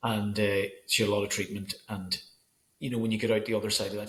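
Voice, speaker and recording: A man with a Northern Irish accent speaks at a very fast pace. His pitch sits in the medium range. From Northern Ireland. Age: 40s. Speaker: school photographer. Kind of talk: casual chat. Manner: halting.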